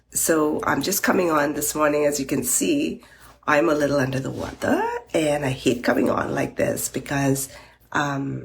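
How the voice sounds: A woman puts on a character voice that is raspy and hoarse, at a very deep, low pitch. She keeps a moderate pace and fairly even intonation.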